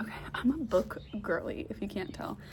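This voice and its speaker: A woman speaks quietly in a room with audible echo and noticeable background noise. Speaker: book vlogger. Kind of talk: casual vlog chat. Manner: quiet, low volume.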